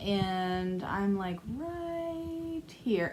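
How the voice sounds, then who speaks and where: A woman talks at a medium pitch. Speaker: cross stitch vlogger. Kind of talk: casual chat. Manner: soft-spoken; hesitant. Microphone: may be too quiet.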